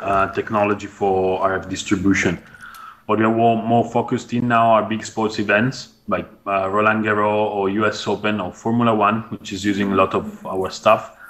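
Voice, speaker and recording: Here is a man with a normal speaking voice and a fairly low pitch. His intonation stays fairly even at a moderate pace. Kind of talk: interview answer. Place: office. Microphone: earbuds.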